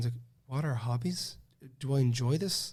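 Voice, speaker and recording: In a Cork accent, a man rushes along at a very fast pace, his dark, mellow tone somewhat breathy. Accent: Cork Irish. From Ireland, Cork. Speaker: master's student. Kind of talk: casual podcast interview. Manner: halting, many false starts.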